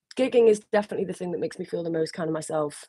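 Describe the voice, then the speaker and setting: A woman speaks with an English accent and a fairly low pitch. Her tone is dark and mellow. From northern England, around Liverpool. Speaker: singer. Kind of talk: live stream Q&A. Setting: solo live video stream. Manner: casual, hesitant with many fillers.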